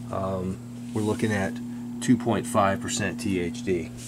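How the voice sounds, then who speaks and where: The man's pitch varies in an ordinary way despite the loud noise behind him. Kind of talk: casual technical commentary. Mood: amused disapproval. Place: workshop.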